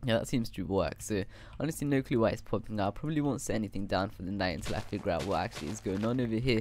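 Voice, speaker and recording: Fairly low in pitch, a man speaks with vocal fry and lively intonation. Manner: animated, casual slang.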